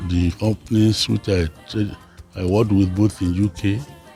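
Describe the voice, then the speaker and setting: The speaker goes at a fairly slow pace. Behind the voice, music is in the background. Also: man. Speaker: consulting engineer, company founder. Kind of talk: interview answer.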